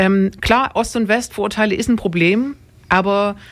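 A woman with an unremarkable speaking voice talks at a moderate pace and a fairly high pitch, her intonation fairly even. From Dresden, Saxony. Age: young. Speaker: radio podcast host. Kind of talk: casual radio discussion. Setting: radio studio.

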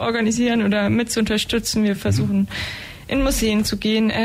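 Fairly high female voice at a fairly quick pace, with fairly even intonation and noticeable background noise. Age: 20s. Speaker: climate activist. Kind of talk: radio interview. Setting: radio studio.

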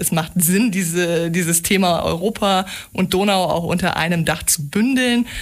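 Noticeable background noise sits behind a woman whose fairly low voice shows ordinary pitch variation. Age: 30s. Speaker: EU information centre coordinator. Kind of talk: radio interview. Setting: radio studio.

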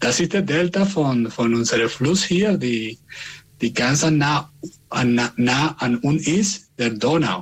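A man with a Spanish accent, fairly high pitch, lively intonation, a somewhat breathy voice, a very slow pace and very even loudness. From Venezuela. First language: Spanish (speaking German). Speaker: community radio host. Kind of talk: casual radio chat; interview. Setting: remote connection. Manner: halting.

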